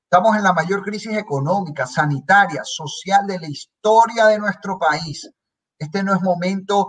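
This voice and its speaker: A man speaks at a moderate pace in a high voice, with ordinary rise and fall in pitch. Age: 30s. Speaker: legislator. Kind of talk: political interview.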